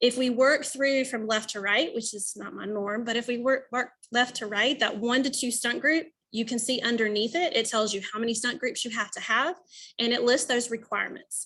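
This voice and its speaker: This woman's voice sits high, with a bright, sharp tone and ordinary pitch variation. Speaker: cheer rules presenter for coaches. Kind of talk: webinar presentation. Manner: fast.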